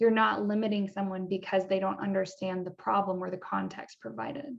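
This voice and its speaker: With a normal speaking voice, a woman talks at a fairly quick pace in a medium pitch with lively intonation. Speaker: engineering educator. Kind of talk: interview questions.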